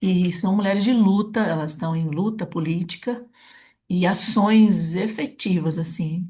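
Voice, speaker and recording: A woman with a fairly low pitch speaks at a fairly slow pace in a dark, mellow, somewhat breathy tone. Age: 70s. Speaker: podcast host. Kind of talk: interview conversation.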